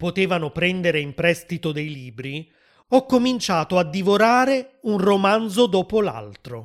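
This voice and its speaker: A man with lively intonation talks at a fairly slow pace in a very clean recording with a silent background. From southern Italy. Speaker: language teacher podcaster. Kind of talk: scripted narration for language learners. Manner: clear, measured.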